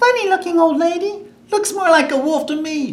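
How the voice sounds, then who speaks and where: This put-on character voice is squeaky and extremely high in pitch. It moves at a moderate pace. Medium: read story.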